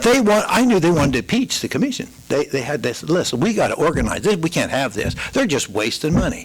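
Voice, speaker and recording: A man's high voice with very wide pitch swings, a fairly quick pace and hardly any pauses, over noticeable background noise. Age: 70s. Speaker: elderly resident speaking at public comment. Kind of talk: public comment at council meeting. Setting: city council meeting.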